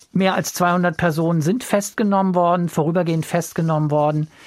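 A man with a plain, everyday voice talks at a moderate pace, his fairly high pitch moving with ordinary variation. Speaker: radio podcast host. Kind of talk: casual discussion of listener feedback.

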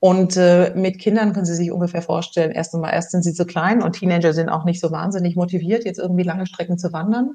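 A woman talks very fast with hardly any pauses and fairly even intonation. Her fairly low voice is somewhat breathy, with a dark, mellow tone. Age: 50s. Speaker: former HR executive and author. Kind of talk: interview. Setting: remote interview, not in the host's studio.

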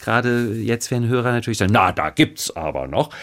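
The man is heard on a very clean recording against a silent background. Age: 50s. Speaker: actor and chanson singer. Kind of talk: interview.

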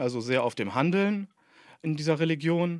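With an unremarkable speaking voice, a man speaks at a moderate pace and a fairly high pitch, using lively intonation in a dry, close sound with no echo, on a very clean recording with a silent background. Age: 40s. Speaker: doctoral student in Islamic theology. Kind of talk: interview.

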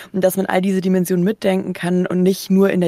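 A woman talks at a very fast pace in a fairly low pitch with monotone, flat intonation. Her tone is dark and mellow. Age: 30s. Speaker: podcast host. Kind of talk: radio interview.

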